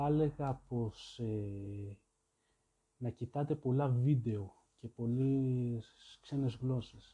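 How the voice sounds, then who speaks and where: This man has a medium pitch, a dark, mellow tone and a somewhat breathy quality, with ordinary pitch variation. He talks at a very slow pace with long, frequent pauses. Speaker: podcast host. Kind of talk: solo monologue podcast. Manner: halting.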